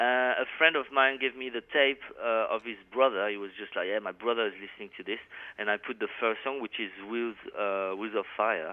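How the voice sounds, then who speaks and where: A man speaks with a French accent. His pitch sits in the middle for a man, with ordinary rise and fall. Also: moderate pace. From France. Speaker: metal guitarist. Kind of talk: interview.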